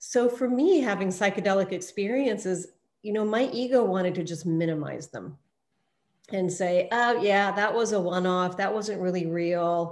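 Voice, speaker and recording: Moderate pace and ordinary pitch variation in a woman's voice of medium pitch. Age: 60s. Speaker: participant sharing personal experience. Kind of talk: testimony. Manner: halting.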